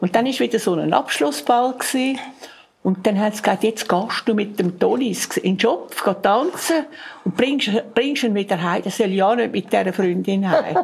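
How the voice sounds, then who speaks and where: Over noticeable background noise, a woman at medium pitch speaks at a moderate pace with lively intonation. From Zurich, Switzerland. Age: 80s+. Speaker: contemporary witness. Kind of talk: oral history interview.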